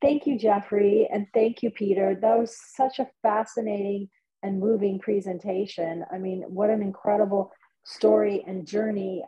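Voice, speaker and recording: A woman's voice sounds somewhat breathy, with fairly even intonation. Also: medium pitch for a woman, moderate pace. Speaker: event moderator. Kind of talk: event moderation. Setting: video call.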